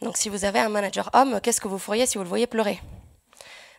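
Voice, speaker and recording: A woman speaks at a very fast pace with vocal fry and ordinary pitch variation on a very clean recording with a silent background. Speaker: software developer. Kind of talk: conference talk. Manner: hesitant.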